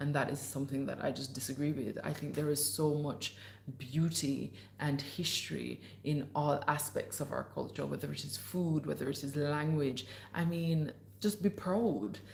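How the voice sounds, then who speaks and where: A woman speaks in an animated tone with a very deep, low pitch and vocal fry. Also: ordinary pitch variation, moderate pace. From Jamaica. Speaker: podcast host and livestreamer. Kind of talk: casual livestream chat reading viewer comments. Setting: livestream. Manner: animated, chatty.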